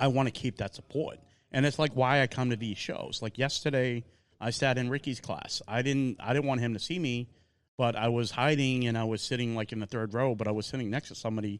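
A man in a Boston accent at medium pitch, fairly quick pace and fairly even intonation, against a quiet background.

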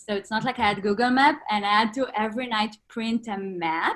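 Speaking with an Israeli accent, a woman talks at a moderate pace in a fairly high voice that has ordinary pitch variation. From northern Israel. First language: Hebrew. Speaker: fashion designer. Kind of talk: interview.

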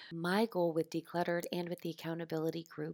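The recording is very clean, with a silent background and a dry, close sound with no echo. A woman speaks at a fairly low pitch. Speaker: podcast host. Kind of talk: scripted podcast intro. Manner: animated.

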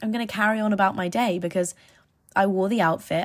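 A woman with an English accent at a very fast pace, medium in pitch and somewhat breathy, on a very clean recording with a silent background. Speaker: podcast host. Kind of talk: casual monologue. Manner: rambling, animated.

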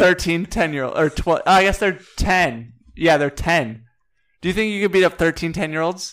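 The talk proceeds at a moderate pace, its pitch varying in an ordinary way. Behind it, music is playing. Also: man, high pitch for a man. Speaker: podcast co-host. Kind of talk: casual chat.

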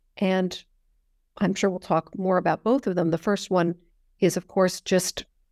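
In a General American accent, a woman speaks in a plain, everyday voice with fairly low pitch and ordinary pitch variation, the sound dry and close with no echo on a very clean recording with a silent background. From US, Northern California. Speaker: history professor. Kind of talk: interview.

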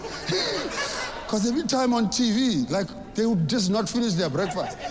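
A man talks in a room with audible echo, and noticeable background noise is present. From South Africa. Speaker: stand-up comedian. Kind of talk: stand-up.

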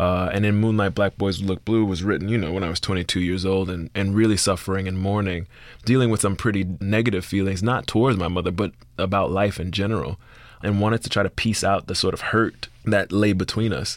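A man with an American accent talks at a fairly quick pace and fairly even intonation over a very clean, silent background. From US South, Miami (Liberty City). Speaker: playwright and screenwriter. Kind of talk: interview conversation.

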